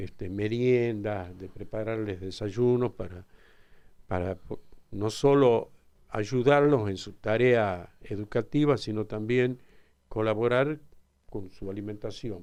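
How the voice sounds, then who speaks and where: A man's fairly low voice in a Tucumán accent, very slow, with ordinary pitch variation and big swings in loudness over a quiet background. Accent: Tucumán Argentine Spanish. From Argentina, Tucumán (Alderete). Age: 70s. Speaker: father of a crime victim, interviewee. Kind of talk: radio interview.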